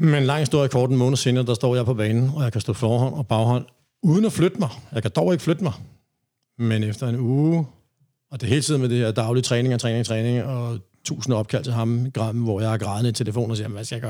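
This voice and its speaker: A man's dark, mellow tone comes through as he talks at a very fast pace. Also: medium pitch for a man, ordinary pitch variation. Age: 50s. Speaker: reggae DJ and rapper. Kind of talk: interview. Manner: halting.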